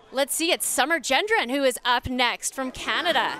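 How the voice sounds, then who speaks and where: Noticeable background noise surrounds a woman's high-pitched, upbeat, energetic voice, which sounds dry with no echo. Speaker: sports broadcast host. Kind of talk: live sports commentary and presenting. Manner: upbeat, polished, energetic. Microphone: headset.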